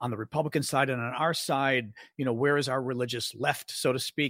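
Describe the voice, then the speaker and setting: A man with a normal speaking voice and an American accent talks at a fairly quick pace in a medium pitch. The recording is very clean, with a silent background and a dry, close sound with no echo. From Chicago, US Midwest. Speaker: political podcast host. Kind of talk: casual interview.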